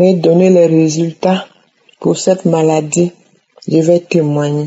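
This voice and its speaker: A woman's fairly low voice, very slow in pace, with fairly even intonation. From Cameroon. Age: 60s. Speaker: testimony giver. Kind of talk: testimony.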